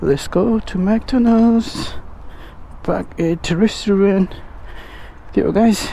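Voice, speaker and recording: The speech moves at a very slow pace, broken by long, frequent pauses. Noticeable background noise runs underneath. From Nepal. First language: Nepali. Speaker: food delivery rider and vlogger. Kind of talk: casual vlog.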